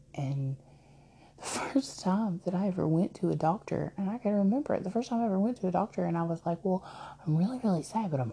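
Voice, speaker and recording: The voice has a dark, mellow tone and is somewhat breathy. It moves at a moderate pace with lively intonation. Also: woman. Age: 30s. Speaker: podcaster. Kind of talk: personal monologue. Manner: halting, many fillers.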